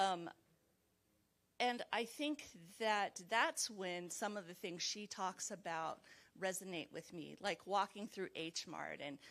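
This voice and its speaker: Someone with a Californian accent speaks at a fairly slow pace. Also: woman. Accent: General American, Californian. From Los Angeles, US. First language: Chinese. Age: 40s. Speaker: mental health professional, book club participant. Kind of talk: book club discussion. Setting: video call.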